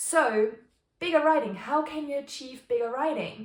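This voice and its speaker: Somewhat breathy, a woman speaks with a Bavarian accent. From Bavaria, Germany. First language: German (Bavarian dialect). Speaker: stationery and journaling YouTuber. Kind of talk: casual tutorial vlog. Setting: home kitchen. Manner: casual, with frequent fillers and word searching.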